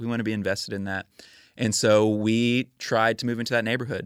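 With an American accent, a man talks at a fairly quick pace in a fairly low, monotone voice with flat intonation, recorded dry and close with no echo against a silent background. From Texas, suburb of Houston. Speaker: neighbor, ministry worker. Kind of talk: casual interview.

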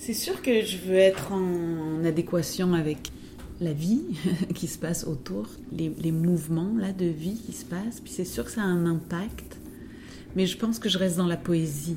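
Her delivery is fairly slow. There is audible room echo around this woman's speech. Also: ordinary pitch variation. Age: 50s. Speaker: dancer and choreographer. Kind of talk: interview. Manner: halting.

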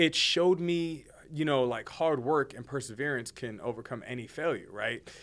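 A man speaks at a moderate pace with a fairly high pitch and ordinary pitch variation. The recording is very clean, with a silent background. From New Jersey (Hoboken) and the Bronx. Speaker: podcast co-host. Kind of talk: casual chat.

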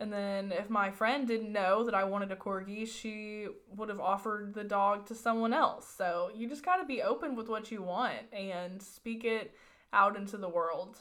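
A woman's normal speaking voice at a medium pitch, with fairly even intonation and a moderate pace. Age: 20s. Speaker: podcast co-host. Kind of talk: casual chat.

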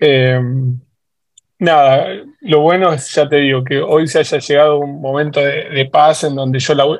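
Long, frequent pauses break up this man's monotone, flat delivery. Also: fairly high pitch for a man, fairly slow pace. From Argentina, San Martín (Buenos Aires). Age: 40s. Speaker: football fan. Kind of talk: casual chat.

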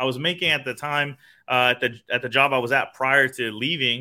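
With an American accent, a man at medium pitch speaks at a fairly quick pace. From Phoenix, Arizona. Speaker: sales consultant and entrepreneur. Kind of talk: casual interview. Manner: animated.

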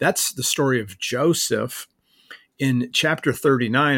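Spoken with a Midwestern American accent, the words come at a fairly slow pace with fairly even intonation. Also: man. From US Midwest, northeast Ohio (Akron). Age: 50s. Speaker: pastor and professor of biblical studies. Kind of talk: casual conversation about scripture.

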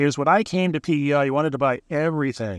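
With an Ontario accent, a man speaks at a fairly high pitch in a dry, close sound with no echo. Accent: Canadian (Ontario). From Southern Ontario, Canada. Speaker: real estate agent and podcast host. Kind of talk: casual interview chat. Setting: in a parked truck on the waterfront.

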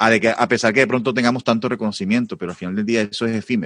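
The sound is close and dry, without any echo. A man rushes along at a very fast pace. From Colombia. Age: 30s. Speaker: multi-instrumentalist and music teacher. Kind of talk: casual chat.

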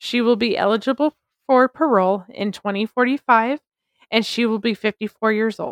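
A woman at a moderate pace, fairly high pitch and fairly even intonation, in a dry, close sound with no echo. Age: 30s. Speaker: podcast co-host. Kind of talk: scripted narration.

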